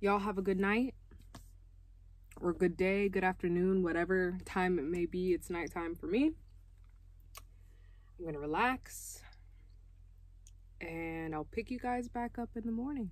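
Speaking at a moderate pace with long, frequent pauses, a woman shows ordinary pitch variation in a dry sound with no echo. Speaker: van life vlogger. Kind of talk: casual vlog chat. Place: car. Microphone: phone near.

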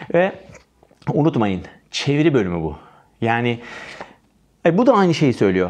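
Against a quiet background, a man speaks in an animated tone at a moderate pace with very wide pitch swings. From Turkey. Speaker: English exam teacher. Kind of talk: tutorial. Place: studio.

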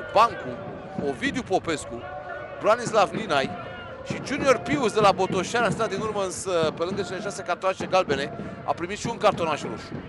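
Over noticeable background noise, a man with a high voice speaks in an animated tone with lively intonation. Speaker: sports commentator. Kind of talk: live football commentary. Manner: excited, exclamatory; animated, rapid-fire.

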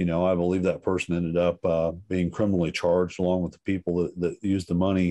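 Very fast, monotone speech from a man with an American accent and a very deep, low pitch. His tone is dark and mellow, and the background is quiet. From US Midwest. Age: 50s. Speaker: resident giving public comment. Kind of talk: public comment. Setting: video call. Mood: frustrated, critical. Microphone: video call.

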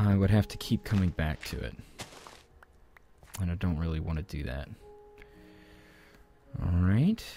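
A man speaks at a moderate pace in a very deep, low pitch. Music plays in the background, and the sound is dry with no echo. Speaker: gaming let's play host. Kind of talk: casual gameplay commentary.

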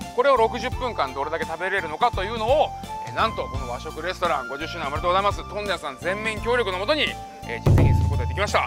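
A man talks at a very fast pace. Loud music plays behind him, and the sound is dry with no echo. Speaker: competitive eater host. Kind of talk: casual vlog chat. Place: street. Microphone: lapel.

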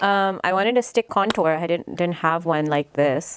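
A woman at a very fast pace and fairly low pitch, dry with no echo, over light background noise. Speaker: beauty vlogger. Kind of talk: makeup tutorial chat. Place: home room. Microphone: phone near.

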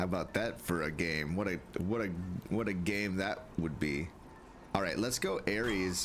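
A man speaks at a moderate pace in a very deep, low voice, with noticeable background noise. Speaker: gaming streamer. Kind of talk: live gameplay commentary. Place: home room.

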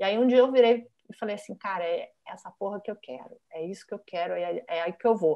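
A woman talks at a fairly quick pace with hardly any pauses and ordinary pitch variation over a quiet background. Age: 50s. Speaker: design professor and author; design professor guest. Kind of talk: casual interview chat. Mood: animated, laughing. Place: home room. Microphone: earbuds.

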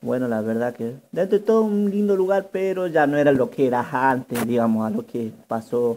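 A man talks at a moderate pace. His tone is dark and mellow. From northern Argentina. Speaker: vlogger. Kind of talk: vlog walking tour narration. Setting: outdoors. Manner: halting, with many fillers and repetitions. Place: waterside. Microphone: phone near.

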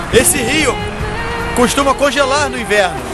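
Over loud music in the background, a man speaks at a fairly quick pace with ordinary pitch variation, the sound dry with no echo. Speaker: travel vlogger. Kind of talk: casual travel vlog narration. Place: street. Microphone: phone near.

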